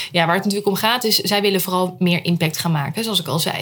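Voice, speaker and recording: A woman speaks at a fairly low pitch. Her voice is somewhat breathy. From Netherlands, Rotterdam. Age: 30s. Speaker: storytelling entrepreneur, former journalist. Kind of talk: casual interview. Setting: at home.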